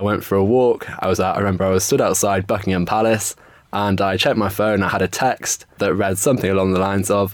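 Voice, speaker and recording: A man in a London accent talks very fast in a monotone, flat delivery at a fairly low pitch. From England, north-west London. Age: 20s. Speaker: stem cell donor. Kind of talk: interview.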